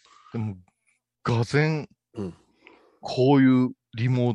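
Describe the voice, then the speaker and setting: This man's medium-pitched voice moves at a fairly slow pace with ordinary pitch variation. The sound is dry and close, with no echo. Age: 50s. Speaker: Buddhist monk radio host. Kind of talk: casual chat. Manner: animated.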